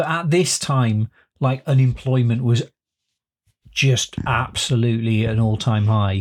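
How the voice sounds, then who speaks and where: A man at medium pitch, somewhat breathy, fairly slow with long, frequent pauses, very even loudness and ordinary pitch variation. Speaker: podcast host. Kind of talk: casual chat.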